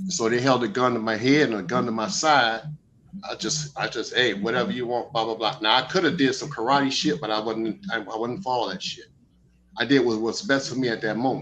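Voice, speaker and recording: A man talks at a fairly quick pace in a medium pitch. His pitch variation is ordinary. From Miami, Florida (Liberty City). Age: 60s. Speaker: speaker at a Moorish study gathering. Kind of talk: casual testimony. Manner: animated, excitable.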